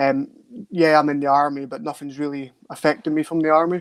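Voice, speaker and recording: A man with a Scottish Highland accent, fairly high-pitched, at a moderate pace in a monotone, flat delivery, recorded dry and close with no echo. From Scottish Highlands, far north. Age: 20s. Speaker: soldier and men's mental health advocate. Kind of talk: interview testimony. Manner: halting, many fillers.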